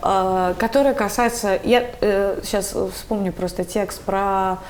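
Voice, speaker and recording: The woman's voice sits at a medium pitch. She speaks at a very slow pace. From Buryatia, Ulan-Ude. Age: 30s. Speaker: theatre director. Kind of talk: interview conversation. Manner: halting, many filler sounds.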